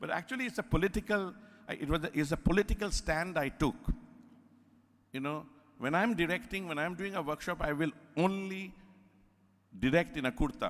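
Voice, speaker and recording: A man's high-pitched voice at a fairly quick pace, broken by long, frequent pauses. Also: ordinary pitch variation. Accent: Indian. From India (Calcutta, Bengali). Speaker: theatre director. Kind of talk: lecture. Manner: animated, conversational.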